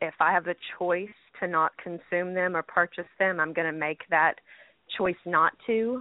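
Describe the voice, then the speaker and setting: A woman speaks at a moderate pace in a normal speaking voice, her pitch fairly low and her intonation fairly even. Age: 20s. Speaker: healthcare worker. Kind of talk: call-in radio discussion.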